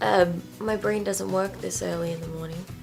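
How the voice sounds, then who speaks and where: A woman speaks quietly, her pitch fairly low. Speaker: book vlogger. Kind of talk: casual book vlog chat. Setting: on her bed at home. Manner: quiet, late-night talk.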